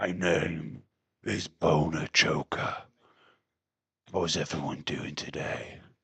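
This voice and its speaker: In a put-on character voice, a man speaks raspy and very deep at a very slow pace, with long, frequent pauses. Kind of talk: loud, showy. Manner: demanding, forceful.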